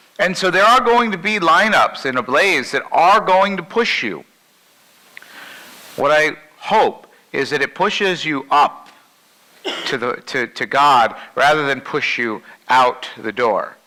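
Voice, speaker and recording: Loud and fairly high-pitched, a man with a bright, sharp tone talks at a fairly slow pace, with very wide pitch swings and long, frequent pauses. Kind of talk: keynote talk to a group.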